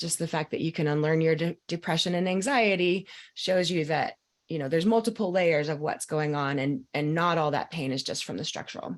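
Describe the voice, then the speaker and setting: A woman's normal speaking voice at a fairly low pitch, with ordinary pitch variation and a fairly quick pace. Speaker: mind-body coach. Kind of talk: live group coaching call.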